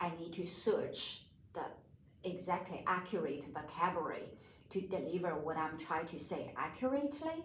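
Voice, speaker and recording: A woman's fairly slow speech with lively intonation, with audible room echo around it. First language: not English. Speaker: counselor and counseling student. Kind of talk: interview.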